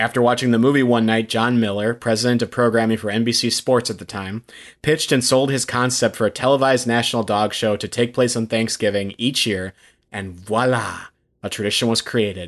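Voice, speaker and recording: Against a quiet background, a man in a normal speaking voice moves at a fairly quick pace with fairly even intonation. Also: medium pitch for a man. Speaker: podcast co-host. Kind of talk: casual chat.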